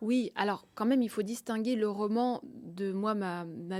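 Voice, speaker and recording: A woman speaks in a dark, mellow tone at a medium pitch. Her intonation stays fairly even. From Russia, grew up in France. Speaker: novelist. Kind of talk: interview. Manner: hesitant, many fillers.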